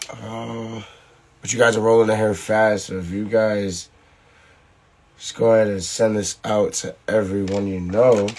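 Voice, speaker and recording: A man's fairly low voice, monotone and flat, at a fairly slow pace with long, frequent pauses and big swings in loudness, amid noticeable background noise. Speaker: podcast host and volleyball coach. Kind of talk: casual livestream chat. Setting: live stream.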